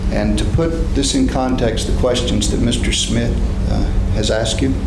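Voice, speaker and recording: A man talks at a fairly slow pace while loud background noise carries on behind him. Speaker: attorney. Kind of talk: courtroom questioning. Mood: measured, formal. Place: hall.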